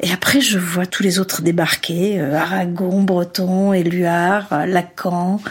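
Noticeable background noise surrounds a woman speaking at a medium pitch. Her delivery is very slow and monotone, with hardly any pauses. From Algeria. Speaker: author and journalist. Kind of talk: interview.

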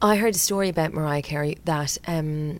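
A woman speaks at a fairly quick pace, her pitch low for a woman, with ordinary pitch variation.

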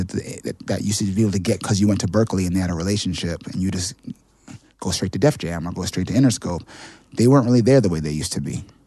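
Here a man speaks with an American accent. His pitch is fairly low, with ordinary pitch variation. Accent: New York, with occasional Jamaican inflection. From New York City. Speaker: songwriter. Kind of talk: casual interview chat.

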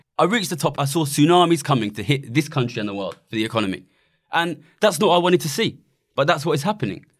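Very fast speech from a man at a fairly high pitch with very wide pitch swings, on a very clean recording with a silent background. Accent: East London. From Ilford, East London. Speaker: economist and campaigner, former trader. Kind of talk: casual interview chat.

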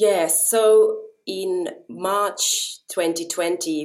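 A woman is speaking. She has a Finnish accent. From Japan (Finnish family), then Finland. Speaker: violinist. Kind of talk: interview conversation.

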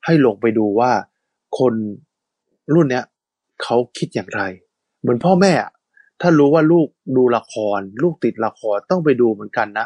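Lively intonation meets a dark, mellow tone in a dry, close sound with no echo. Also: man, medium pitch for a man. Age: 40s. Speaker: radio host. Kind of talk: casual chat.

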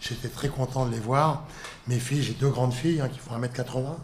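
A somewhat breathy man at medium pitch and a fairly slow pace. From northern France, Lille. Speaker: sports federation president. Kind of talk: interview. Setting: federation headquarters office.

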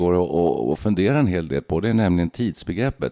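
A man's dark, mellow tone at a moderate pace, dry and close with no echo. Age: 60s. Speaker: podcast host, former radio journalist. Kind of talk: casual chat.

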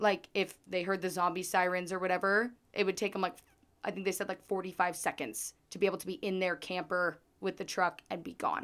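In a very clean recording with a silent background, a woman with an American accent and a normal speaking voice talks at a fairly quick pace, using a medium pitch and fairly even intonation. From southern Idaho. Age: 20s. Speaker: true crime podcast host. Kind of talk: true crime storytelling. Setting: recording away from usual studio.

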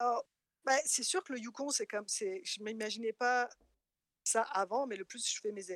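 A woman with a fairly high pitch and ordinary pitch variation talks at a moderate pace with long, frequent pauses, recorded with a dry, close sound and no echo. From France. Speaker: interviewee. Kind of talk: casual chat. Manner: hesitant, repeats words.

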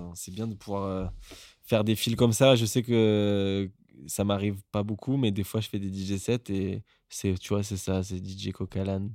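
Fairly slow and monotone, a man speaks with a flat intonation, a fairly low pitch and a dark, mellow tone. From southern France, Marseille. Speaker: musician. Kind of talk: casual chat.

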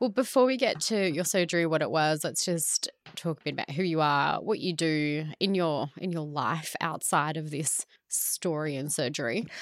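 With an Australian accent, a woman speaks at a moderate pace in a very deep, low voice with lively intonation. The recording is very clean, with a silent background. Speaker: podcast host. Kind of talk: casual interview.

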